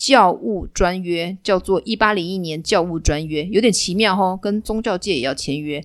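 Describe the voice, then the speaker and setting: With hardly any pauses, a woman speaks at a moderate pace in a medium pitch with ordinary pitch variation, on a very clean recording with a silent background. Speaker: history storytelling podcaster. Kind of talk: storytelling monologue. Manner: animated.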